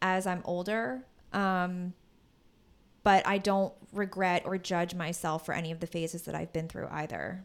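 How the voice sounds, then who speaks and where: A woman with an American accent speaks in an unremarkable speaking voice, fairly low in pitch, with fairly even intonation. Her pace is moderate, on a very clean recording with a silent background. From Philadelphia suburbs, Pennsylvania. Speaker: podcast co-host. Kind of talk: casual chat. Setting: home recording with fan running.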